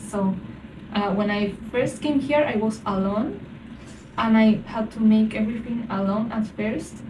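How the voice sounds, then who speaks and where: Amid noticeable background noise and audible room echo, a woman speaks fairly slowly at a fairly high pitch with fairly even intonation. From Argentina. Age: 30s. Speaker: student living abroad. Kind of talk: casual interview chat. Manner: hesitant, many fillers.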